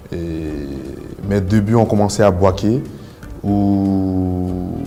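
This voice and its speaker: Music plays behind a man with a very deep, low voice. The room adds an audible echo. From Ivory Coast (Bouaké, Abidjan). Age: 20s. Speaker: martial arts athlete. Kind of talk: personal testimony. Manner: halting, many fillers.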